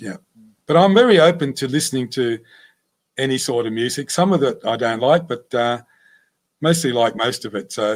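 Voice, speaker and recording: A man with an Australian accent, medium pitch and lively intonation, at a moderate pace broken by long, frequent pauses. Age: 60s. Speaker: winemaker. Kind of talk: interview. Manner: halting, many fillers.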